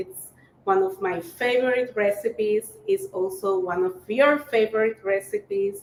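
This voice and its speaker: Speaking at a fairly slow pace, a woman with a Spanish accent uses a medium pitch with ordinary pitch variation. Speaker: cooking teacher. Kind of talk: live-streamed cooking workshop. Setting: live stream. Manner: casual with fillers.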